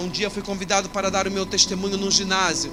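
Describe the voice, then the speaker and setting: A man projects his raised voice at a high pitch while noticeable background noise carries on. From Brazil, Cuiabá, Mato Grosso. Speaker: pastor. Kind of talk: testimony.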